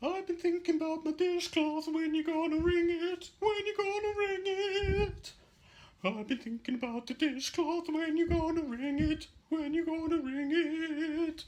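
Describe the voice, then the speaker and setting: A put-on character voice, squeaky and extremely high in pitch. It moves along at a moderate pace. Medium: stage play. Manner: wry, put-upon.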